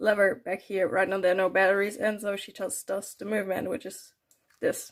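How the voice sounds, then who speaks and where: On a very clean recording with a silent background, a woman talks with a non-native accent. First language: not English. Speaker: doll customizer, video creator. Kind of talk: unscripted voice-over tutorial. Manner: casual, hesitant with fillers.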